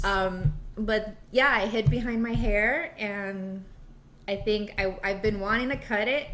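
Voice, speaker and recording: A woman speaks at a fairly slow pace with a fairly high pitch and ordinary pitch variation. Noticeable background noise runs behind her. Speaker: small business owner. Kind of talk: interview answer. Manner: soft-spoken.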